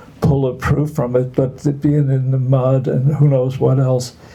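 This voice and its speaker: A man's monotone, flat intonation over noticeable background noise. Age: 80s+. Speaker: artist. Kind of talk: casual chat. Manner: halting.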